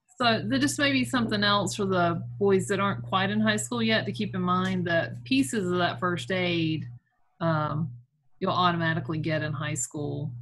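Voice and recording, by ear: A woman speaks at a moderate pace with a fairly low pitch and a fairly bright tone. Her intonation stays fairly even, and room echo is audible.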